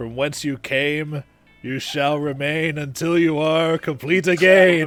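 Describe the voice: A man's put-on character voice, fairly high and fairly slow, with faint music in the background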